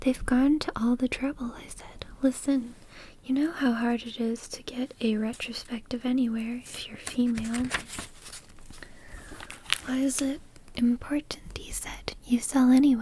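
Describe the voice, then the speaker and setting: A woman speaks in a high pitch with a calm tone and monotone, flat intonation at a fairly slow pace, leaving long, frequent pauses. Her loudness swings widely, and noticeable background noise is present. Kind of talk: soft book reading. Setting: home microphone recording. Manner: soft-spoken, calm, slow.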